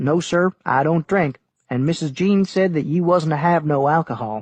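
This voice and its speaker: A man puts on a character voice in a strong Texas accent, drawling at a moderate pace with fairly high pitch and ordinary pitch variation, the sound dry and close with no echo. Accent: thick Texas drawl. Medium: read story. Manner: polite, drawling, deferential.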